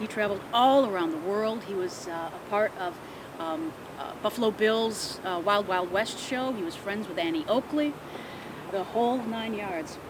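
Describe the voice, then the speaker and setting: An ordinary speaking voice from a woman with an American accent, medium in pitch, with ordinary pitch variation and a moderate pace. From Midwest US. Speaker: ghost tour guide. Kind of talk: ghost story telling.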